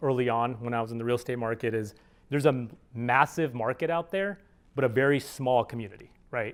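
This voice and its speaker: Very fast speech comes from a man with a medium pitch and ordinary pitch variation. The recording is very clean, with a silent background. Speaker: startup founder and CEO. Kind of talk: conference talk with Q&A. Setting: stage with audience.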